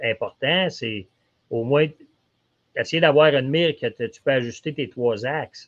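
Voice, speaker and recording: In a Quebec accent, the speaker moves at a fairly slow pace with ordinary pitch variation and long, frequent pauses. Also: man, fairly high pitch for a man. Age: 60s. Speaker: archery shop expert. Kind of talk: casual podcast chat. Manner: halting, repetitive fillers.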